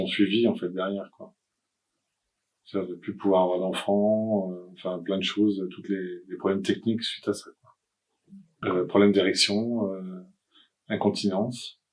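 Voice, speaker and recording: Over music in the background, a man speaks at a moderate pace with fairly low pitch and monotone, flat intonation, with long, frequent pauses and big swings in loudness. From France, Nantes. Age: 60s. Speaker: cancer patient. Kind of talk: testimony. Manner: halting.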